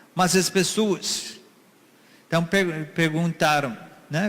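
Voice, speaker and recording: This man has an ordinary speaking voice, fairly high in pitch, and he talks at a fairly slow pace. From USA. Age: 60s. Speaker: missionary preacher. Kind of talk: sermon.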